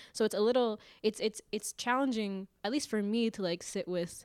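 A woman with an American accent uses a normal speaking voice at a moderate pace with ordinary pitch variation, recorded very cleanly against a silent background with a dry, close sound and no echo. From suburb of Seattle, US. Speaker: podcast co-host. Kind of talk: casual chat.

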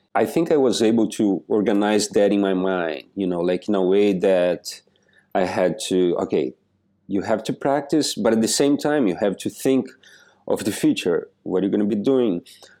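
A man's dark, mellow voice with a Portuguese accent, fairly low in pitch, with lively intonation and very even loudness, in a very clean recording with a silent background. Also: moderate pace. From southern Brazil. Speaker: percussionist. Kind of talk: interview. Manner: halting.

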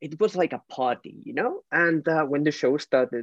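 A man speaks with a Spanish accent. His fairly high pitch carries lively intonation. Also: dry, close sound with no echo. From Spain. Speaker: fan and podcast supporter. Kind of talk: casual chat. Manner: halting, emotional.

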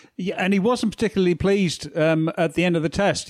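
A very fast pace with ordinary pitch variation. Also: man. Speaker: podcast co-host. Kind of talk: casual chat.

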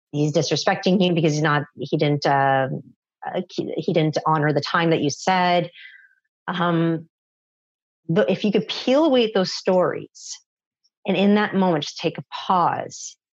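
Woman at a fairly low pitch, fairly slow pace, ordinary pitch variation and long, frequent pauses. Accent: Canadian. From Canada, Toronto. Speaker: parenting coach. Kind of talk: interview.

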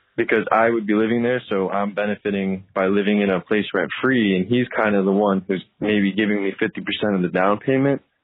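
In an American accent, a man talks at a fairly quick pace with fairly low pitch, fairly even intonation and an ordinary speaking voice. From Connecticut. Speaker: aspiring investor, listener voicemail. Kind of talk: voicemail question. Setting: phone voicemail.

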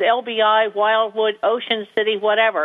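Noticeable background noise sits under a woman speaking with an American accent. She talks at a moderate pace in a fairly high voice. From New Jersey. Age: 50s. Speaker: small business owner. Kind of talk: interview.

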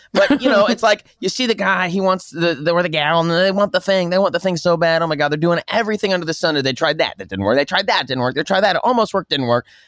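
A man with a high-pitched voice talks at a very fast pace with lively intonation and hardly any pauses. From Oklahoma, Tulsa. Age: 40s. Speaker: comedian and actor. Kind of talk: casual chat.

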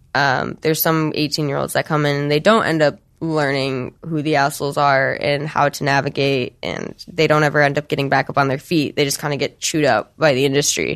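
A woman with an American accent and a very deep, low pitch talks at a fairly quick pace with fairly even intonation and hardly any pauses. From Michigan, US Midwest. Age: 20s. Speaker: adult film performer and director. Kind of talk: interview.

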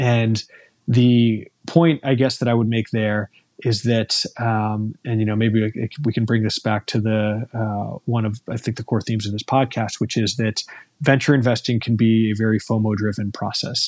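On a very clean recording with a silent background, a man with an American accent speaks at a medium pitch and moderate pace in a monotone, flat intonation. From US. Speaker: entrepreneur, company founder. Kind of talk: interview conversation. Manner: hesitant, frequent fillers.

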